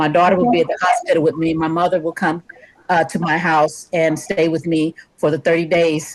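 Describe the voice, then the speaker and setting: A woman with an ordinary speaking voice, fairly low pitch and fairly even intonation talks at a fairly quick pace. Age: 60s. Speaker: myeloma patient. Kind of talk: audience question.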